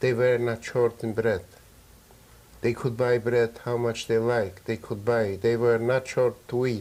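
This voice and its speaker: A man's monotone, flat delivery at medium pitch and a fairly slow pace. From Poland. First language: Yiddish. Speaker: Holocaust survivor. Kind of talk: interview testimony. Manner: halting.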